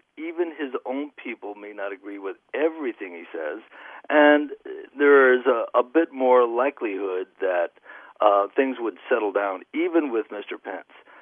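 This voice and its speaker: Lively in intonation and with big swings in loudness, a man with a normal speaking voice talks at a moderate pace in a medium pitch. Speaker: caller. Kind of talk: call-in discussion. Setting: phone call.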